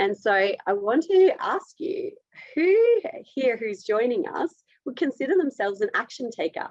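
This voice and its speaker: The speaker has an Australian accent and a fairly slow pace, with very wide swings in pitch. The sound is dry and close, with no echo. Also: woman, high pitch for a woman. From Australia, rural area near Melbourne. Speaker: dietitian presenter. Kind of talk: webinar presentation. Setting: online webinar. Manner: direct, to the point.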